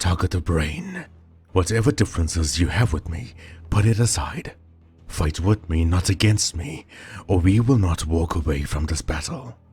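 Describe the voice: Faint music plays in the background behind a put-on character voice with big pitch swings, a slightly mellow tone and a husky, rough edge. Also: man, low pitch for a man, moderate pace.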